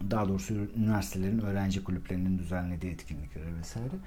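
A man with a fairly low, dark, mellow and somewhat breathy voice talks at a very fast pace amid audible room echo. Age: 40s. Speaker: life coach and podcaster. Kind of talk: solo monologue podcast.

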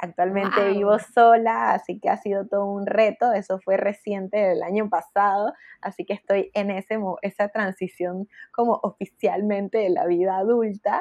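With a dry, close sound and no echo, a woman talks at a moderate pace in a medium pitch with fairly even intonation. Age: 20s. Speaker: menstrual health educator. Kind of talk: casual chat.

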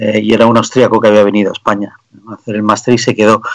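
A man is talking. His voice has a medium pitch. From Canary Islands, Spain. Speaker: tech entrepreneur. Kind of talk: radio interview.

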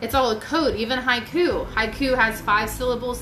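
A woman with an American accent speaks over noticeable background noise, and audible room echo can be heard. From Virginia, US. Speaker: poet and spiritual artist. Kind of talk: casual interview chat.

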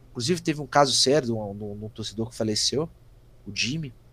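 This man talks at a very fast pace. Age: 20s. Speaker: football fan page administrator. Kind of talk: casual chat.

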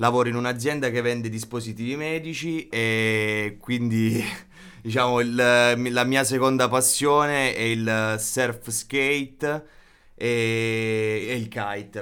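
Very slowly and with fairly even intonation, a man speaks in a bright, sharp tone. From Basilicata, southern Italy (Matera province). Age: 20s. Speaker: surfskate enthusiast, medical device sales worker. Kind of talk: casual chat.

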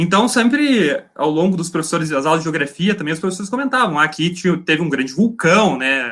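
A man speaks at a fairly quick pace in a high voice, his pitch swinging very widely. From Paraná, Brazil (Laranjeiras do Sul). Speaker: geology master's student. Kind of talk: casual interview chat.

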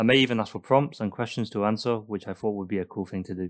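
A man with a Mancunian accent at a very fast pace and fairly low pitch, with fairly even intonation, on a very clean recording with a silent background. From Manchester, England. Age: 20s. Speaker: student podcaster. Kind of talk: solo podcast monologue.

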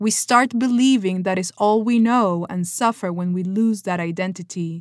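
A woman's calm voice with a Peruvian accent, fairly slow and with ordinary pitch variation, on a very clean recording with a silent background. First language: Spanish. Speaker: podcast host, actress. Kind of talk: scripted personal monologue. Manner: calm, reflective.

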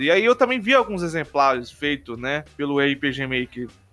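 A man is talking at a moderate pace. Behind him, music is playing. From Brazil, Rondônia. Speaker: podcast host. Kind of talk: casual chat.

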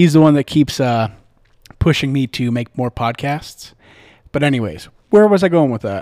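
Dry and close with no echo, a man with a Midwestern American accent and a dark, mellow tone speaks at a moderate pace in a fairly high pitch. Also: lively intonation. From US Midwest. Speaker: podcast host. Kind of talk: casual storytelling. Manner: relaxed, filler-heavy.

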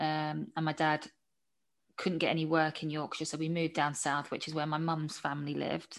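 A woman with a southern English accent talks at a moderate pace in a low voice, her intonation monotone and flat.

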